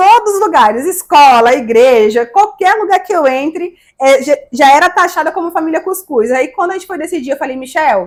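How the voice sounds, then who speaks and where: Lively intonation and an animated tone carry this moderate-paced voice with a northeastern Brazilian accent. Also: woman, extremely high pitch for a woman. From Brazil, Maceió, Alagoas (Northeast). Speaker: digital influencer. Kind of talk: interview.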